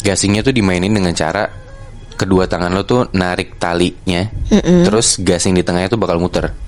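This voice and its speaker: The speaker moves at a fairly quick pace with fairly even intonation and very even loudness over noticeable background noise. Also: man, very deep, low pitch for a man. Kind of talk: casual horror storytelling in Jakarta slang. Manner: conversational, explaining to a friend.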